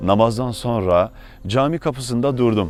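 Music plays behind the speaker. He is a man talking at a moderate pace. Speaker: theologian, preacher. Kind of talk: religious sermon.

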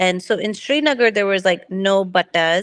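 Someone speaks at a fairly slow pace in an American accent. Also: woman, quiet background. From United States, Kashmiri household. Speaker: book club member. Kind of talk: book club discussion. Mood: reflective, hopeful. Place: home room. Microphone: video call.

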